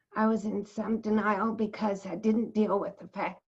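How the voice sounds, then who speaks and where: The speaker has an American accent and sounds somewhat breathy. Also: woman. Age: 70s. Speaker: retired psychologist and cancer survivor. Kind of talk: interview testimony.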